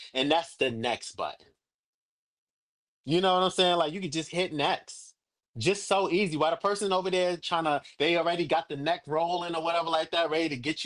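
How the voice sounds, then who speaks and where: Loud, animated and energetic, a man with a high pitch talks at a fairly quick pace against a quiet background. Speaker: livestream coach / agency mentor. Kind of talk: online workshop / coaching session. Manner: animated, energetic.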